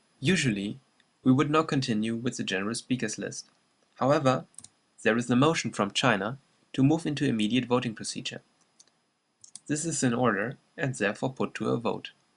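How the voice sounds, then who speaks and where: The speaker has a slight German accent. Long pauses come often. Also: man, medium pitch for a man, ordinary pitch variation. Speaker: presenter. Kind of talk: scripted narration. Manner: formal.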